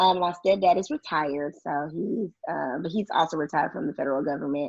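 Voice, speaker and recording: A woman with an American accent speaks in a normal speaking voice, fairly low in pitch, with ordinary pitch variation at a fairly quick pace. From Houston, Texas. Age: 20s. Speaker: podcaster. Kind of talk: casual chat.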